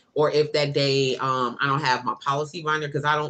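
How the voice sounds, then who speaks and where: Loud and fairly quick, a woman with an American accent speaks with a very deep, low pitch and a bright, sharp tone. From Chicago, US Midwest. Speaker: couponing youtuber. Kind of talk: live stream chat. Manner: animated.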